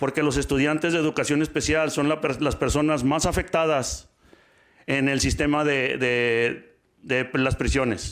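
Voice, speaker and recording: A man's very fast, fairly high-pitched monotone with flat intonation, on a very clean recording with a silent background. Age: 60s. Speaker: public commenter, parent advocate. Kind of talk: public comment at school board meeting. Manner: loud, forceful tone.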